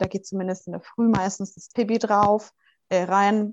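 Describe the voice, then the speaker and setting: This woman speaks at a medium pitch and a fairly slow pace. Her intonation is monotone and flat. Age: 20s. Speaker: mother of two, interview guest. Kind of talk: casual interview.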